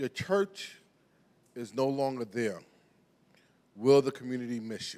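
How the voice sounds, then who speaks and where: A man speaks in a New York accent. The recording is very clean, with a silent background. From New York (Brooklyn). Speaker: pastor. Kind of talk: sermon. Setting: church. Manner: halting.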